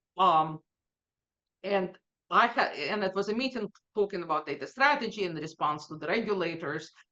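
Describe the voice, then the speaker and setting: A woman with a non-native accent, medium pitch, a bright, sharp tone and lively intonation at a moderate pace, broken by long, frequent pauses. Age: 50s. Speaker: data executive. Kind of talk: interview.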